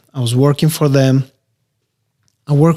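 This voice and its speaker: A man with an Albanian accent speaks at a medium pitch in a dark, mellow tone. His intonation is monotone and flat. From Albania, then South Carolina from age 15. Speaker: real estate investor. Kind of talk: podcast interview.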